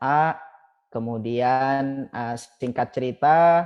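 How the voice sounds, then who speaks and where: His pitch sits in the medium range. This man's pitch shifts in an ordinary way. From Madura, Pamekasan (East Java, Indonesia). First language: Madurese (speaking Indonesian). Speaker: alumni association chairman. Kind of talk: podcast interview.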